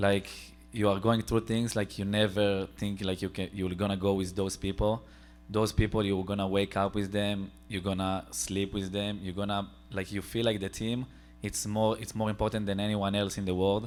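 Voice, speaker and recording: In an Israeli accent, a man speaks at a fairly low pitch and moderate pace with fairly even intonation, on a very clean recording with a silent background. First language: Hebrew. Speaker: student soldier on panel. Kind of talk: panel discussion.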